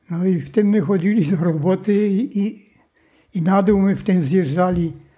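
In a Silesian accent, a man speaks at a high pitch and a fairly slow pace. The background is quiet. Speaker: World War II survivor, former forced labourer in a mine. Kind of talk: interview answer. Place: home room.

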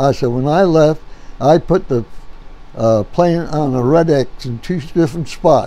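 A man speaks with lively intonation. His tone is dark and mellow. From New Jersey. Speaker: war veteran. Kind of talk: interview answer. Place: home room.

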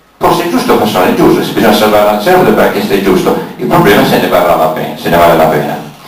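Amid audible room echo, a man with a fairly low pitch races along at a very fast pace with very wide pitch swings. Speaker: event moderator. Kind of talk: moderating a public debate. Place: hall. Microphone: camera far.

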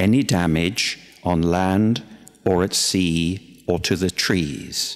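Speaking at a very slow pace, a man has a very deep, low pitch and a gentle, warm tone. Faint music plays in the background. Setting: church. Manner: gentle, unhurried and conversational, with frequent hesitations and repeated words; warm, plainspoken pastoral earnestness. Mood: warm, gently humorous. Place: church. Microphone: podium.

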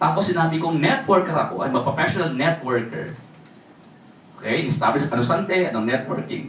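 Amid noticeable background noise and audible room echo, a man speaks in an animated tone at a high pitch and a moderate pace, with very wide pitch swings. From Philippines, Tagalog region. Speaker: network marketing speaker. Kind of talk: sales pitch.

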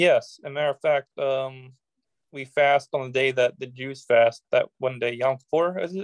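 A man talks at a moderate pace with fairly even intonation, the sound dry with no echo and the background quiet. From United States. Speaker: political activist; interview guest. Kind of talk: interview. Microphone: video call.

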